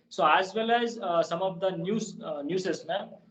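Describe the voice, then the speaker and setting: A man speaks in a high pitch. He talks with a Kannada accent. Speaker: English learner. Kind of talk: casual chat. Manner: halting.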